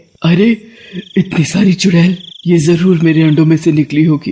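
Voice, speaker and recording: Here a man uses a cartoonish character voice pitched high. He keeps a moderate pace. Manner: menacing.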